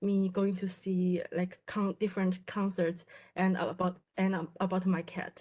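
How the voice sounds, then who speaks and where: With a Chinese accent, a woman speaks at a fairly slow pace in a medium pitch, her tone dark and mellow and somewhat breathy. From China. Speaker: graduate student in quantum computing. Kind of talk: presentation. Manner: halting, many fillers and restarts.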